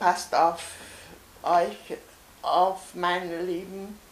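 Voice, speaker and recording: At a very slow pace, a woman speaks in a fairly low pitch with monotone, flat intonation, amid noticeable background noise and audible room echo. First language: Hungarian (speaking German). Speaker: Holocaust survivor. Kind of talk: testimony. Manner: halting.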